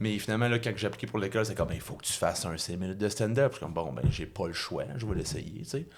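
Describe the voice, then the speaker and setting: A man with a Quebec accent talks at a very fast pace with hardly any pauses. His voice is fairly low, with vocal fry and lively intonation. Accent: Québécois French. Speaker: comedian. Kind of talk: casual chat. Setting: studio. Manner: halting.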